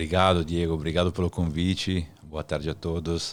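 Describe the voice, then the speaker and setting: A man with an Italian accent speaks at a moderate pace in a very deep, low pitch with monotone, flat intonation on a very clean recording with a silent background. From Italy, Milan. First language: Italian (speaking Portuguese). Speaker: energy consultant. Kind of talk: podcast interview.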